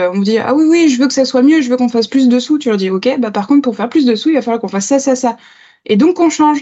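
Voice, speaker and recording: A woman talks at a very fast pace. Her pitch is high, with ordinary pitch variation. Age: 30s. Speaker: agile coach and trainer. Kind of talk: podcast interview.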